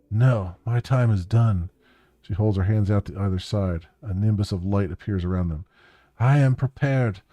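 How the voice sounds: With ordinary pitch variation, a natural reading voice is heard.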